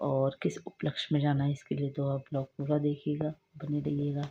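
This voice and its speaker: Somewhat breathy, a woman speaks at a fairly slow pace. Her pitch is very deep and low. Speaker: vlogger, mother. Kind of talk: casual vlog talk to camera.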